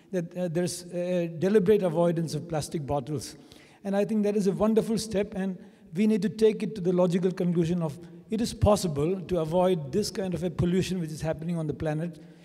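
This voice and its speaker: A man speaks at a very fast pace in a high pitch. Room echo is audible. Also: fairly even intonation. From India. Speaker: conference attendee. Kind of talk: question from the floor at a conference. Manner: halting.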